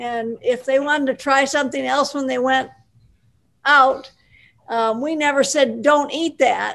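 With long, frequent pauses, a woman speaks in a high pitch and fairly even intonation against a quiet background. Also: fairly slow pace. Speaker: guest's wife; guest. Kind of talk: casual chat. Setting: video call. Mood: warm, friendly. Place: home room. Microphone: video call.

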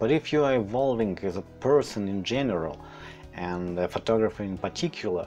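A man speaks at a fairly slow pace with a non-native accent and lively intonation. Faint music plays in the background. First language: not English. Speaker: landscape photographer. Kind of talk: read-from-script tutorial narration. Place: home room. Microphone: lapel.

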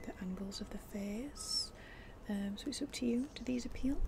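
A woman's fairly slow speech, with noticeable background noise. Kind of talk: soft personal-attention roleplay chat. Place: garden. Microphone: phone near.

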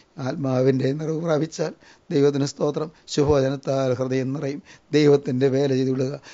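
A man speaks in a fairly high pitch. His intonation is flat and monotone. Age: old. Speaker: preacher. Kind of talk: sermon.

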